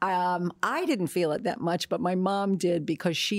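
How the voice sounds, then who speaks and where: A normal speaking voice from a woman with an American accent, fairly low in pitch and at a fairly slow pace, on a very clean recording with a silent background. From New Jersey. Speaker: actress. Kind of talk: interview.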